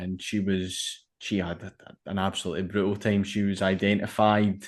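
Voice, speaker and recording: A man speaks in a Glaswegian accent at a moderate pace, his pitch fairly low and his intonation monotone and flat. The background is quiet. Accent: Glaswegian Scottish. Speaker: podcast host. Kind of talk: podcast interview.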